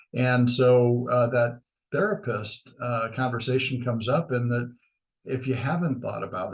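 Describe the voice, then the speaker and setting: Somewhat breathy, a man of medium pitch speaks with an American accent. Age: 60s. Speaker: chamber of commerce leader. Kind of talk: podcast interview. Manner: many fillers and hesitations.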